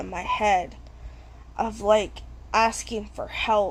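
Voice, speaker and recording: A woman is mumbling. She speaks at a very slow pace. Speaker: vlogger. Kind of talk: personal testimony.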